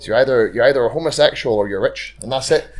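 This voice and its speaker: Noticeable noise sits behind a man with a Northern Irish accent. He talks at a very fast pace. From Northern Ireland. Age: 30s. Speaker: amateur rugby player. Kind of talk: casual chat.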